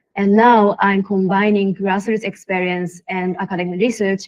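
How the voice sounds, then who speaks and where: Recorded dry and close with no echo, a woman with a Japanese accent speaks at medium pitch and a moderate pace, her intonation fairly even. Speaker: social entrepreneur. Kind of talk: panel discussion.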